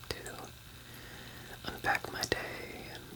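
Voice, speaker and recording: A man whispers at a very slow pace. Noticeable background noise is present. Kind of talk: ASMR whisper. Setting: outdoors by a fountain. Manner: whispered, soft-spoken.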